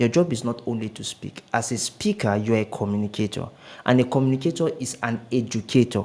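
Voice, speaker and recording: With ordinary pitch variation, an ordinary speaking voice goes along at a fairly quick pace. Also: man, medium pitch for a man. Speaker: public speaker. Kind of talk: interview.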